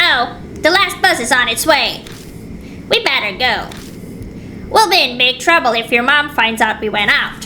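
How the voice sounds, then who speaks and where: A put-on character voice moves at a moderate pace with long, frequent pauses. Clear background noise sits behind it. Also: woman, high pitch for a woman. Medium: game stream. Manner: nervous, eager.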